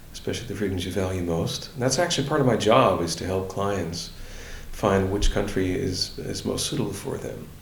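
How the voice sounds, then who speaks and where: The speaker moves at a fairly quick pace with ordinary pitch variation. The room echo is audible, and there is noticeable background noise. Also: man. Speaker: libertarian politician and relocation adviser. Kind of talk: interview. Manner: hesitant, many fillers and restarts.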